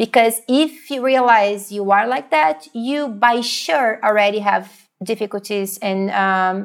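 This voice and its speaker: Ordinary pitch variation in a Portuguese accent. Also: woman. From Brazil. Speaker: psychologist. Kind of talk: interview.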